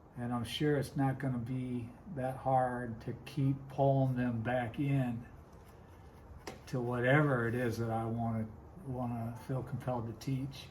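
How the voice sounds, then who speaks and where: Audible room echo carries a man's fairly slow speech, delivered in a monotone, flat intonation. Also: medium pitch for a man. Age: 60s. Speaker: woodcarver and Bible teacher. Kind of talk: casual vlog talk while working. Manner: casual, rambling.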